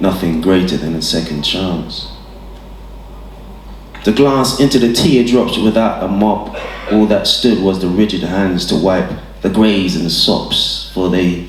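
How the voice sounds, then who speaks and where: A man's very deep, low voice with ordinary pitch variation, at a fairly slow pace with long, frequent pauses and noticeable background noise. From Hackney, London. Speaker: poet performing at an open mic. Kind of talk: spoken word poetry performance.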